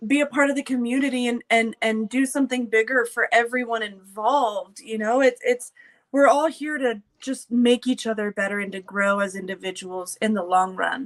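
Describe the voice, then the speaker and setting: Fairly high pitch from a woman at a moderate pace, with ordinary pitch variation and hardly any pauses. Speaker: combat sports show host. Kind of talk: casual chat. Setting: live stream. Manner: loud.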